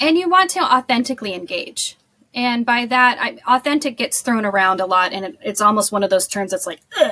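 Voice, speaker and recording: Loud and bubbly, a woman with an American accent talks at a high pitch with a fairly quick pace. Her animated tone carries very wide pitch swings. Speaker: social media marketing agency owner. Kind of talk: podcast interview. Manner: bubbly, animated.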